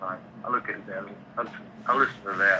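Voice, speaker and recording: This man's speech is accompanied by noticeable noise in the background. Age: 60s. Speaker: caller, crypto investor. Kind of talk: call-in testimony. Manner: halting, repeats words.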